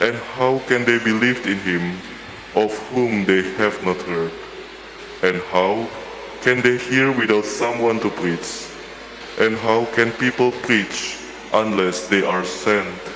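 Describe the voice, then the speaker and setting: Noticeable background noise surrounds a man speaking at a very slow pace with long, frequent pauses. His pitch is fairly low and his intonation fairly even. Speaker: lector reading scripture and prayers. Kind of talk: scripture reading aloud. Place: church. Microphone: podium.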